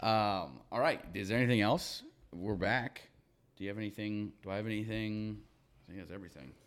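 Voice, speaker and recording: A man's unremarkable speaking voice, fairly low in pitch with ordinary variation, at a fairly quick pace, with big swings in loudness. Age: 20s. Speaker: podcast co-host. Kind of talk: casual chat.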